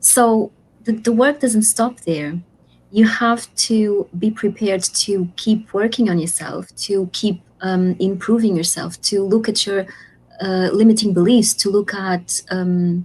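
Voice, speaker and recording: A woman's medium-pitched, somewhat breathy voice with a non-native accent, fairly even intonation and a fairly slow pace. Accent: foreign. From Portugal. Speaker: life coach and author. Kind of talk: interview. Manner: halting.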